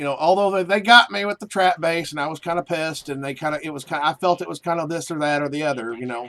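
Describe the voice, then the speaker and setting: A man with a Southern US accent, fairly high-pitched with a bright, sharp tone, at a very fast pace with hardly any pauses. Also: ordinary pitch variation, dry, close sound with no echo. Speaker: video game streamer. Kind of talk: casual chat. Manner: animated.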